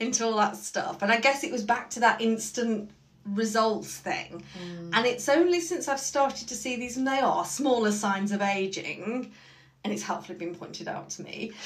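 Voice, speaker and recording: A somewhat breathy woman with a fairly high pitch, lively intonation, big swings in loudness, and a moderate pace, amid audible room echo. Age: middle-aged. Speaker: podcast co-host and Pilates client. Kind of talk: casual chat.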